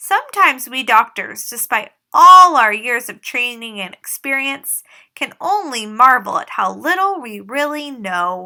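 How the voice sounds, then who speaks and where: At a moderate pace, a woman performs a put-on character voice, high in pitch with very wide pitch swings. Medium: read story. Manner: calm, reassuring.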